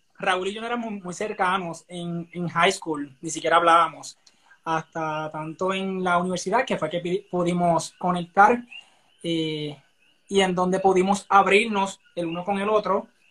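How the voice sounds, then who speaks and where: A man's high-pitched, bright, sharp voice at a fairly slow pace, with fairly even intonation. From Puerto Rico, Barranquitas. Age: 20s. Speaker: dancer and dance teacher. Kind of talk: casual chat.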